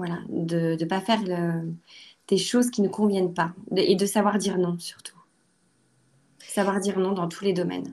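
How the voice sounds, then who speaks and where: A woman's medium-pitched voice, fairly slow with long, frequent pauses, in a very clean recording with a silent background. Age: 30s. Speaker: lawyer. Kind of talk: personal testimony interview. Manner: hesitant, many fillers.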